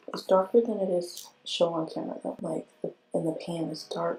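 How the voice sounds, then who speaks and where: A woman speaks with music in the background. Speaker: beauty vlogger. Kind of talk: makeup tutorial talk to camera.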